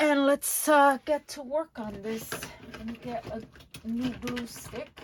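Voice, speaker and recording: A woman mumbles in a high voice. Her pace is very slow. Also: fairly even intonation, big swings in loudness. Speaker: crafting channel host. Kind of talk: craft tutorial. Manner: mumbling; casual, hesitant with fillers.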